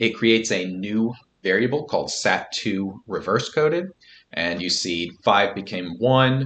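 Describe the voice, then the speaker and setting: Against a quiet background, a man with an unremarkable speaking voice talks at a medium pitch with lively intonation. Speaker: statistics software tutor. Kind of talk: screen-recorded tutorial. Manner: casual, with fillers.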